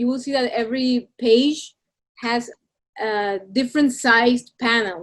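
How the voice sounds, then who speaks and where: A woman with a Spanish accent and a high pitch talks at a very slow pace. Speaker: illustrator. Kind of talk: presentation to students over video call. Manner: hesitant, repeats words.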